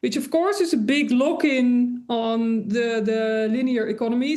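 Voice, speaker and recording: A woman speaks with a Dutch accent at a fairly slow pace. Her pitch is fairly high. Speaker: industrial designer and sustainability author. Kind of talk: interview. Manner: hesitant, many fillers.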